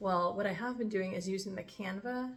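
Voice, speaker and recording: Somewhat breathy and medium in pitch, a woman talks at a fairly quick pace with ordinary pitch variation. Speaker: vlogger. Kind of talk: casual vlog talk. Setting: home kitchen. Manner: unscripted, off the cuff.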